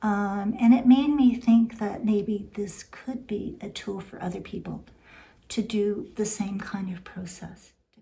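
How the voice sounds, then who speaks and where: A woman with a medium pitch and a somewhat breathy voice speaks at a fairly slow pace, her intonation fairly even but her loudness swinging widely. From immigrated to Canada by boat. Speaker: weaver. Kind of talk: interview.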